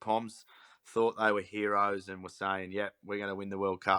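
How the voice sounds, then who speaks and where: Speaking with an Australian accent, a man uses a bright, sharp tone at a fairly low pitch with monotone, flat intonation. His moderate pace comes through in a dry, close sound with no echo. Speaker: sports podcast host. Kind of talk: casual chat.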